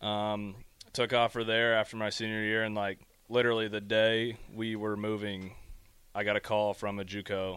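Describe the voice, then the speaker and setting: In an American accent, a man talks at a moderate pace in a fairly low pitch with monotone, flat intonation. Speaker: college baseball player. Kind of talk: casual chat.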